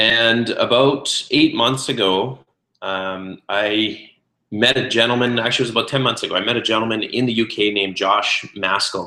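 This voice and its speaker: A man talks in a Canadian accent with a bright, sharp tone. His intonation stays fairly even. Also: medium pitch for a man, moderate pace. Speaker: network marketing consultant and restaurateur. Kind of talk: webinar presentation. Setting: online webinar call. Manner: many filler words (uh, um).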